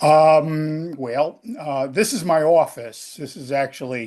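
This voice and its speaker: Speaking with a New England accent, a man goes at a very slow pace. The background is quiet. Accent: New England American. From Connecticut, US. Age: 70s. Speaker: podcast guest. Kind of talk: casual chat.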